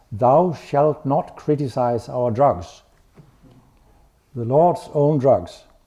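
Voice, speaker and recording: Speaking at a very slow pace, a man with a Danish accent has a fairly high pitch. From Denmark. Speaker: medical researcher. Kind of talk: lecture.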